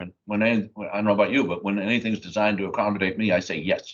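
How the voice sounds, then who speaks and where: A man is speaking. His pitch sits fairly low. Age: 60s. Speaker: state supreme court justice. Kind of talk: live panel Q&A.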